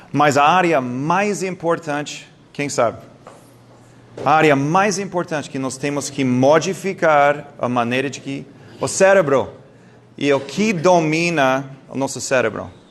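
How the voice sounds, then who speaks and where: A man with an English accent, fairly high in pitch with ordinary pitch variation, in audible room echo. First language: English (speaking Portuguese). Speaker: doctor giving a health talk. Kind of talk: lecture. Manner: halting, with stumbles and self-corrections.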